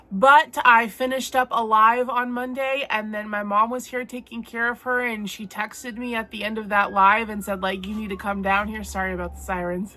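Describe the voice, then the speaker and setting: Over noticeable background noise, a woman talks at a moderate pace with hardly any pauses, her fairly high pitch carrying fairly even intonation while her loudness swings widely. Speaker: crochet artist and vlogger. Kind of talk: casual vlog chat.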